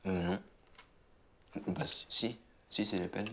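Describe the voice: Putting on a character voice, a man speaks slowly and fairly low with big pitch swings and vocal fry.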